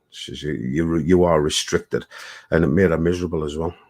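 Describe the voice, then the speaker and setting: A man speaks at a fairly quick pace with a very deep, low pitch and vocal fry. His pitch variation is ordinary. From UK. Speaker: live stream guest. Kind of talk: casual chat.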